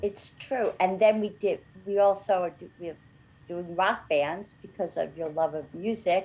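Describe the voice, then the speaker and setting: With an ordinary speaking voice, a woman talks at a fairly slow pace and medium pitch with fairly even intonation. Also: big swings in loudness. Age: 60s. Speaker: podcast co-host. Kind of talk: casual chat.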